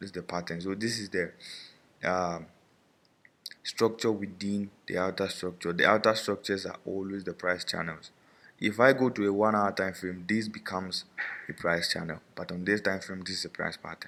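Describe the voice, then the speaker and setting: This man's fairly low voice has a bright, sharp tone and a monotone, flat intonation. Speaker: forex trading instructor. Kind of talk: webinar tutorial. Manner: fast.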